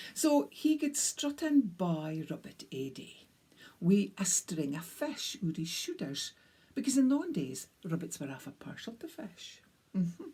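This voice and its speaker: A woman's somewhat breathy voice, dark and mellow, with a North East Scottish accent, very wide pitch swings, big shifts in loudness and a fairly slow pace. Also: medium pitch for a woman. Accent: North East Scottish (Doric). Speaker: storyteller. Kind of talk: storytelling. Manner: animated.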